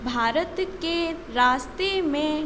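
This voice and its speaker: Noticeable background noise surrounds a woman whose voice is high in pitch. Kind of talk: stenography dictation read. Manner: slow, with spoken punctuation.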